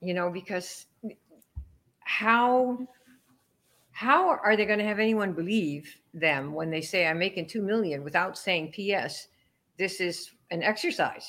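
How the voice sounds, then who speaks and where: A woman speaks at a medium pitch with lively intonation. Her pace is fairly slow, broken by long, frequent pauses. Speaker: network marketing trainer. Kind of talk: casual interview chat.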